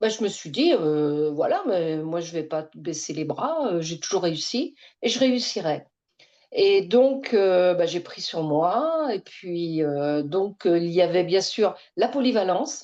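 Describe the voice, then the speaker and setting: A woman's medium-pitched, dark, mellow voice, very slow with lively intonation, against a quiet background. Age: 60s. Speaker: retired bank employee. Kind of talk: testimony. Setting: online webinar. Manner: hesitant, many fillers.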